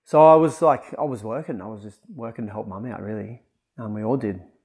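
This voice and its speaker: The very clean recording, with its silent background, captures a man speaking in an Australian accent. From Australia, northern New South Wales (Kyogle). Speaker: personal coach. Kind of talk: casual chat.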